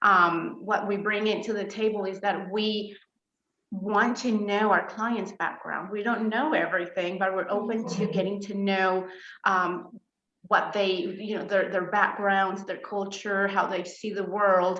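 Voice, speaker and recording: In a room with audible echo, a woman of medium pitch speaks at a fairly slow pace in a Spanish accent with monotone, flat intonation. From Colombia. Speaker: therapist. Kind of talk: interview. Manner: hesitant, many fillers.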